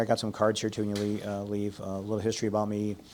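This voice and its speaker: A man with an American accent talks very fast in a fairly low voice. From Illinois. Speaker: retired fire chief teaching grant writing. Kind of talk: workshop presentation.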